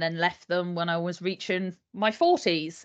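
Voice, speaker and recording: A Yorkshire accent at a fairly slow pace, with ordinary pitch variation against a quiet background. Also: woman. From northern England, Yorkshire. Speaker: HR consultant. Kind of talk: casual interview chat.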